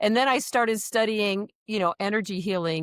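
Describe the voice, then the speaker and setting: The recording is very clean, with a silent background and a dry, close sound with no echo. A woman talks at a moderate pace with fairly even intonation. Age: 60s. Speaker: nurse and energy healer. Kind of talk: interview. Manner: halting.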